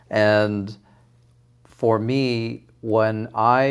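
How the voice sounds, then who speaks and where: A man with a Canadian accent has a normal speaking voice at medium pitch. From Toronto area, Canada. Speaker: cooking show contestant and home cook. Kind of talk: interview.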